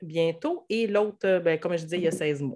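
A woman with a Quebec accent, fairly low in pitch with ordinary pitch variation, on a very clean recording with a silent background. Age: 30s. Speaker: hairdresser and stay-at-home mother. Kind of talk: casual interview.

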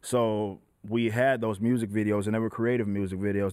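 Speaking in an unremarkable speaking voice, a man keeps a medium pitch at a moderate pace. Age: 20s. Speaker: rapper and metal band frontman. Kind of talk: casual chat.

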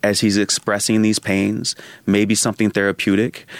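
Recorded dry and close with no echo, a man speaks in a normal speaking voice with a fairly low pitch at a moderate pace. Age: 30s. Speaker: communication scholar and author. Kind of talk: interview.

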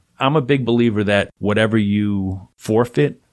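This man's voice is fairly low in pitch, and his pace is moderate. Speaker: stand-up comedian and former teacher. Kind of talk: casual interview chat. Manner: measured, easy cadence.

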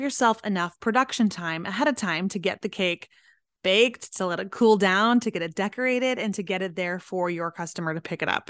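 A woman with a plain, everyday voice talks at a fairly quick pace, medium in pitch with ordinary variation. The sound is dry and close with no echo, and the background is quiet. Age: 40s. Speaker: podcast host and pet business coach. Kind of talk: solo business podcast monologue.

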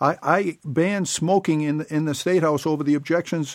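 A man speaks in a normal speaking voice with fairly even intonation. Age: 50s. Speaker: political candidate. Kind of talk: interview. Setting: studio.

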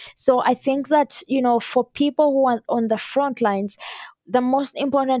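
With a dark, mellow tone, a woman speaks at a moderate pace and keeps her intonation fairly even. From Uganda. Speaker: climate activist. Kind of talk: interview.

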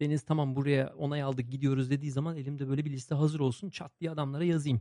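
A man talks at a very fast pace in a dark, mellow tone at a fairly high pitch. The sound is dry and close, with no echo. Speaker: podcast host and social enterprise co-founder. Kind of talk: casual interview.

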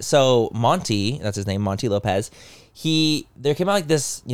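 The speaker is a man talking at a moderate pace. His pitch varies in an ordinary way. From US, Mexican-American. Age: 30s. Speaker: podcast co-host. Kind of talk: casual chat. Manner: animated.

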